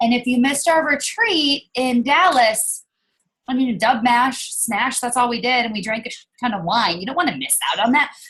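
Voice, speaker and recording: Energetic in tone, a woman speaks in a high voice with ordinary pitch variation. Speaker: network marketing team leader. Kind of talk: team video call. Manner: fast; casual, energetic.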